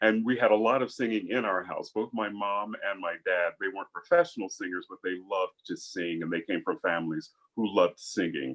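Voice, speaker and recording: The speaker is a man. He talks at a fairly quick pace with hardly any pauses. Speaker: opera singer. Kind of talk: interview. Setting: video call.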